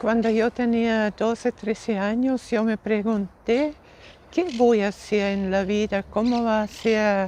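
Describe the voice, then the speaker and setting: A woman's fairly high voice in a German accent, very slow in pace, with fairly even intonation. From Austria. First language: German (speaking Spanish). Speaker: missionary nun, former teacher. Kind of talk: interview.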